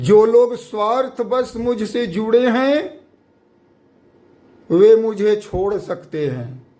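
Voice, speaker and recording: A man talks at a very slow pace. Audible room echo surrounds his voice. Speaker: guru. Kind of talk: sermon.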